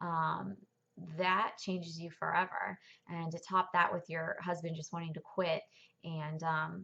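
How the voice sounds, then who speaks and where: Speaking at a fairly slow pace, a woman uses a fairly low pitch, a bright, sharp tone and fairly even intonation. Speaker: churchgoer sharing her testimony. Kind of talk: testimony. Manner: hesitant, many fillers.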